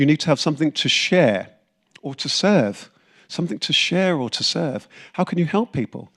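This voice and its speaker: A man's fairly high voice with vocal fry and very wide pitch swings, dry and close with no echo, on a very clean recording with a silent background. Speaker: motivational speaker and business coach. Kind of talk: seminar talk. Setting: stage with audience. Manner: fast; animated.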